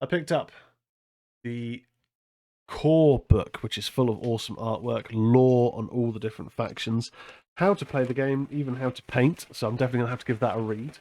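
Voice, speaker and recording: A man with an English accent talks at a fairly quick pace in a dark, mellow tone. His medium pitch shows ordinary variation. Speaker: horror podcast host. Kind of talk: casual chat. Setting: live stream.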